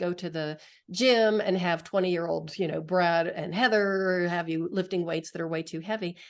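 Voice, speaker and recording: A woman talks fairly quickly at a medium pitch in a plain, everyday voice, with fairly even intonation over a quiet background. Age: 60s. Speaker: podcast host. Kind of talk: interview podcast.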